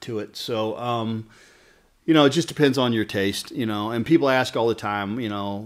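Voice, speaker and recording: A man at medium pitch, relaxed in tone, at a moderate pace. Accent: Southern US. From Kentucky, US South. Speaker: barber. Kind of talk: casual interview chat. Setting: barbershop waiting room bar. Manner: relaxed, conversational with many fillers.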